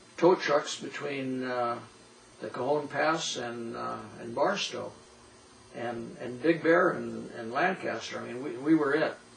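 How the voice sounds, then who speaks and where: A man with an American accent talks at a moderate pace, his pitch medium with ordinary variation. Noticeable noise sits in the background. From Southern California (High Desert). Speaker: local old-timer interviewee. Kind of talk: oral history interview.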